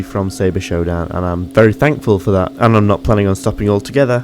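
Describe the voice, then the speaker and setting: A man with a Yorkshire accent, fairly low in pitch, at a very fast pace. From Yorkshire, northern England. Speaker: gaming YouTuber. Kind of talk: Q&A video, casual monologue.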